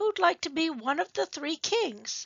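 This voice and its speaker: A woman puts on a raspy character voice, high-pitched with very wide pitch swings, at a moderate pace. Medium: read story. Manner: bossy, fussy.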